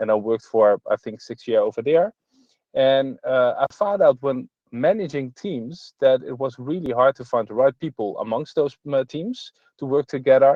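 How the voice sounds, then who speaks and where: With a Dutch accent, a man speaks at a moderate pace in a fairly high pitch, ordinary pitch variation, and big swings in loudness. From Netherlands, Nijmegen. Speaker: entrepreneur and conference speaker. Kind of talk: online conference talk. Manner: halting, many filler sounds.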